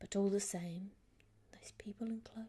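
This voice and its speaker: Moderate in pace, the delivery is soft-spoken. The voice stays quiet throughout. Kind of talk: ASMR bedtime story reading; audiobook-style reading of a novel chapter.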